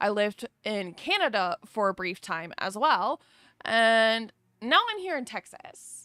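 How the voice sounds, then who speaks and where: A woman's fairly high voice has a bright, sharp tone and an animated delivery, with very wide pitch swings and a slight Southern US accent. The recording is very clean with a silent background, and the sound is dry and close with no echo. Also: fairly slow pace. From US South, North Carolina. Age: 30s. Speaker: streamer. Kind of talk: casual chat. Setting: livestream.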